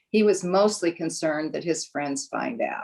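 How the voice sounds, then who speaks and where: This woman speaks with an American accent. Her pitch is fairly low, with ordinary variation. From Nebraska, US Midwest. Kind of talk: panel discussion. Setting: virtual panel.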